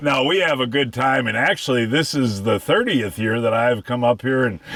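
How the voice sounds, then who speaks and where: Noticeable background noise accompanies a man speaking at a medium pitch and a moderate pace. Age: 70s. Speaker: fishing TV show host. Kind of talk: outdoor fishing show hosting. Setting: outdoors in a fishing boat. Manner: animated.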